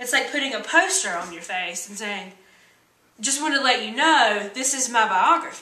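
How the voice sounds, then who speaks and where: A woman's high voice in an American accent, with lively intonation, big swings in loudness, a moderate pace and audible room echo. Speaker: vlogger. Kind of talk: motivational vlog talk. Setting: standing on a chair indoors. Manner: animated.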